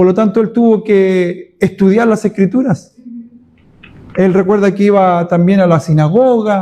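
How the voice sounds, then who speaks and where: At a fairly slow pace, a man speaks with a high pitch and a dark, mellow tone, keeping fairly even intonation and very even loudness. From Chile. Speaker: pastor. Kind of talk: Bible study teaching. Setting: church.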